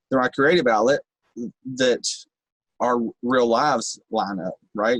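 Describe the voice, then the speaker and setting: A man with a Kentucky accent, medium pitch and ordinary pitch variation at a moderate pace, in a dry, close sound with no echo. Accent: rural Kentucky, country twang. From Kentucky, Bowling Green area (rural). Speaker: rapper, recovering addict. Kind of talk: podcast interview. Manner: animated.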